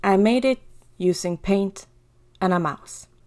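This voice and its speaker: Her tone dark and mellow, a woman speaks very slowly with a non-native accent, at medium pitch and with ordinary pitch variation. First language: not English. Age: 20s. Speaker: digital artist. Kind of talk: casual drawing commentary.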